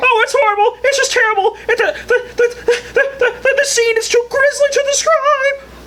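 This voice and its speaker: A cartoonish character voice at an extremely high pitch and moderate pace, over clear background noise. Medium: puppet. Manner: frantic, stammering.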